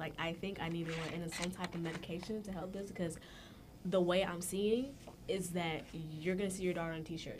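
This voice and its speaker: A woman with an American accent speaks at a fairly quick pace in a fairly low pitch, her intonation fairly even, with audible room echo in the recording. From US, Jamaican family. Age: 20s. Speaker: college student podcast guest. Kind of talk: casual chat.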